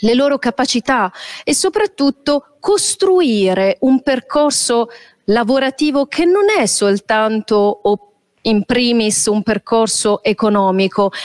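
A woman speaks with a high pitch at a very slow pace. The background is quiet. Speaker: teacher presenting a school project. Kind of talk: presentation talk. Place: hall. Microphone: handheld.

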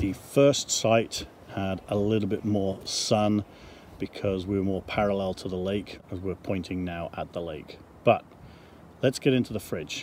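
Light background noise sits behind a man with a normal speaking voice and fairly low pitch, talking at a moderate pace in a dry sound with no echo. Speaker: RV owner vlogger. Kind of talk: casual vlog chat. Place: open country. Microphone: phone near.

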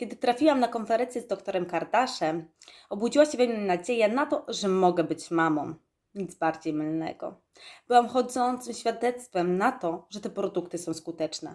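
In an ordinary speaking voice, a woman talks at a moderate pace with medium pitch and lively intonation. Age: 20s. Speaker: network marketing distributor. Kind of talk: testimony. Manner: formal.

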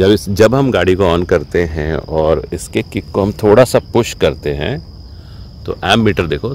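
Speaking at a fairly slow pace, a man with a very deep, low pitch comes through dry with no echo and light background noise. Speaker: vlogger. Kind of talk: casual vlog chat and tutorial. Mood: cheerful, joking. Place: open country. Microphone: phone near.

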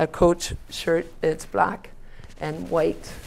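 A woman speaks with a very deep, low pitch and vocal fry. There is light background noise. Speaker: local youth bowling coach. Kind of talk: interview answer. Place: studio. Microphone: lapel.

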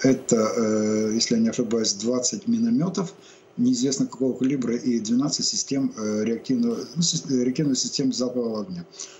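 With light background noise, a man speaks at a moderate pace with ordinary pitch variation. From Ukraine. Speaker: military expert, reserve army major; guest. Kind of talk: live TV interview. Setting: remote link. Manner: halting, many fillers. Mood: calm, slightly scornful. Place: home room. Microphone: webcam.

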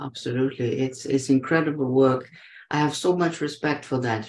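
The speech moves at a moderate pace. The voice is somewhat breathy. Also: man. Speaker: podcast host. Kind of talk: casual interview. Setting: video call. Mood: warm, admiring. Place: home room. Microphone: video call.

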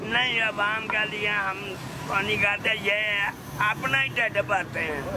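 This man's voice is high in pitch, with ordinary pitch variation. Noticeable background noise runs underneath. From India. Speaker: street beggar. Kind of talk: interview answer. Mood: bitter, complaining, earnest. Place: street. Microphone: phone near.

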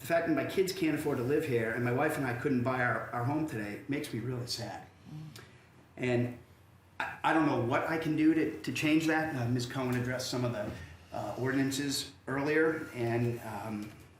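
Medium-pitched speech from a man at a moderate pace, with ordinary pitch variation, audible room echo, and noticeable background noise. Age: 50s. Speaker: city council candidate. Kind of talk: candidate forum statement. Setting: public forum with audience. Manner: halting, many fillers and repeats.

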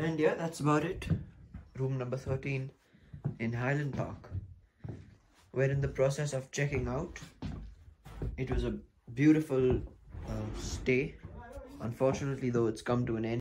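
A man talks at a moderate pace, his voice somewhat breathy. Long, frequent pauses break up his speech over noticeable background noise. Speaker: travel vlogger. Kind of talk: casual vlog chat. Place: home room. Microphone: phone near.

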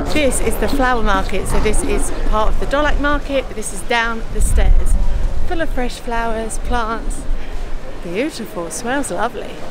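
Music plays behind a woman whose delivery moves at a moderate speed. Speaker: travel vlogger. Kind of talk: casual vlog chat. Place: street. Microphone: phone near.

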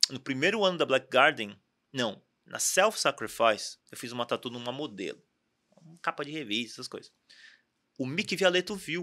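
A man's fairly high, bright, sharp voice with very wide pitch swings, big swings in loudness and long, frequent pauses over a quiet background. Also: moderate pace. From Brazil, São Bernardo do Campo, São Paulo; São Paulo, Brazil. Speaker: tattoo artist; podcast guest. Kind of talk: casual interview chat. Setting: studio. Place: studio. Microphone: studio mic.

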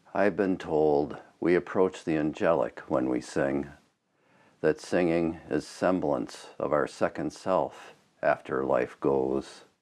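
Marked by vocal fry, the voice moves at a very slow pace with very even loudness. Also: man, very deep, low pitch for a man, ordinary pitch variation. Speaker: spoken word poet. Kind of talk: spoken word poetry performance. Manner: passionate. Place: studio. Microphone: lapel.

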